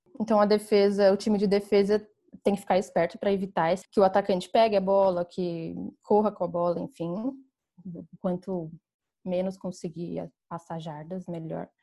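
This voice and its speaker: Her voice is medium in pitch with a dark, mellow tone. The woman speaks in a monotone, flat intonation with long, frequent pauses. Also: moderate pace, quiet background. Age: 20s. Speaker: flag football player. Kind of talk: podcast interview.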